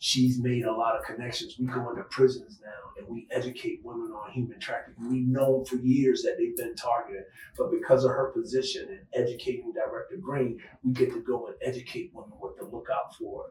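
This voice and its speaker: A man talks with big swings in loudness and hardly any pauses. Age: 60s. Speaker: retired law enforcement agent and human trafficking advocate. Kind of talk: interview conversation.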